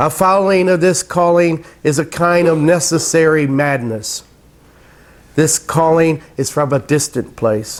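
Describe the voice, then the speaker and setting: A man talks at a fairly high pitch and a fairly slow pace. His pitch varies in an ordinary way, and his loudness stays very even. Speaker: poet. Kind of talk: poetry reading.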